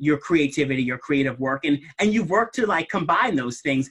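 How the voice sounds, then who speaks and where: Here a man speaks in a normal speaking voice. His pitch is fairly high and his intonation lively. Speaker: interviewer for an advocacy group's series. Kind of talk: live interview. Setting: video call.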